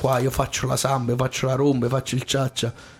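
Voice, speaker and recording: With noticeable background noise behind him, a man speaks at a medium pitch and a fairly quick pace. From Abruzzo, Italy (Tortoreto/Corropoli area). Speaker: singer and showman. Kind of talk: radio interview. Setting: radio studio.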